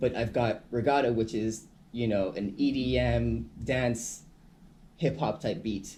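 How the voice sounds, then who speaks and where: A man at a very slow pace, medium in pitch, with a dark, mellow tone and vocal fry. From Caribbean, Saint Martin. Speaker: hip hop artist. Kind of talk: radio interview.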